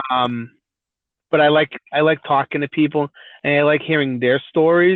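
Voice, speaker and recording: A man speaks with a Boston accent. His pitch is fairly high and his intonation fairly even. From Massachusetts (Brockton, near Boston). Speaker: truck driver. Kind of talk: casual chat. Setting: podcast interview. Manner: halting. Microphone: audio glitches, quiet spots.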